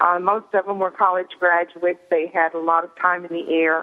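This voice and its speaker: A woman speaks in a Southern US accent. Her intonation is monotone and flat. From Arkansas, US South (Fort Smith). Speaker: author. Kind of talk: radio interview. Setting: phone call. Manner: hesitant, many fillers.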